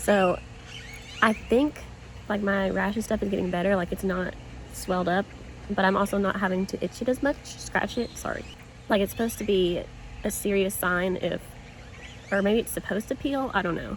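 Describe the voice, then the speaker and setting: With a Southern US accent, a woman at a medium pitch speaks at a moderate pace in fairly even intonation, pausing long and often. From US South, small town. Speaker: vlogger. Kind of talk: casual vlog. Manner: halting, slight stutter.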